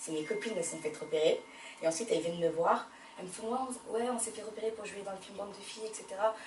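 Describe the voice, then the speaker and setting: Very fast female speech, fairly high in pitch with big swings in loudness, over noticeable background noise. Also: ordinary pitch variation. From France, Paris. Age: 20s. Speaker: actress. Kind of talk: interview.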